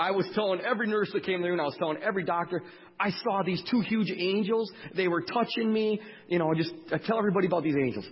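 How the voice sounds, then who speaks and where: A man talks at a very fast pace in a high voice. His loudness stays very even. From Wisconsin, US. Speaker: speaker sharing testimony, former diesel mechanic. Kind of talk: testimony; sermon.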